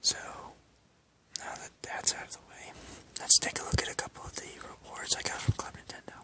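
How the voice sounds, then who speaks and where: The speaker whispers at a fairly quick pace, with long, frequent pauses. Noticeable background noise runs underneath. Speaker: ASMR creator. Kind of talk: ASMR collection show-and-tell. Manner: whispered.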